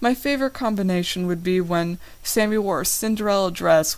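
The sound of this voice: This unforced reading voice shows ordinary rises and falls in pitch.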